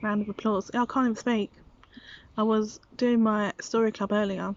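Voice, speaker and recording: A British accent comes through. The delivery is fairly slow. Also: woman. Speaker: vlogger and preschool teacher. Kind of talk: casual vlog monologue. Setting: outdoors in garden.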